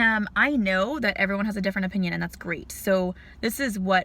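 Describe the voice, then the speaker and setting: Her pitch lands in the medium range. The woman talks with an American accent. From California, Central Valley. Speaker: vlogger. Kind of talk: casual vlog talk. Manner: fast; chatty, filler-heavy.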